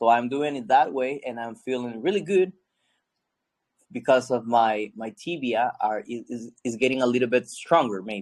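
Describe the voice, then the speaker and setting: In a non-native accent, the speaker keeps a moderate pace with ordinary pitch variation and big swings in loudness. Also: man, medium pitch for a man. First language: not English. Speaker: class participant. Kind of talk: casual chat. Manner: halting.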